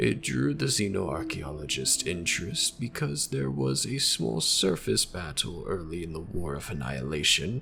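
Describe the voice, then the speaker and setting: A man uses a put-on character voice with a very deep, low pitch. He speaks at a moderate pace over clear background noise. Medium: machinima. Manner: formal, measured, evasive.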